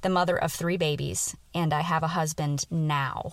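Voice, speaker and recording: A woman talks with a very deep, low pitch and ordinary pitch variation. The recording is very clean, the background silent. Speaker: personal finance podcast host and money coach. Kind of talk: casual podcast monologue.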